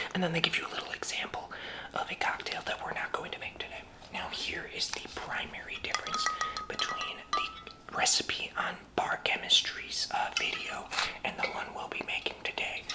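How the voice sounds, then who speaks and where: A whisper at a moderate pace, with noticeable background noise. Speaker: bartender ASMR roleplay host. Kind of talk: ASMR cocktail-making demonstration, talking to camera. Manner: soft-spoken, whispering.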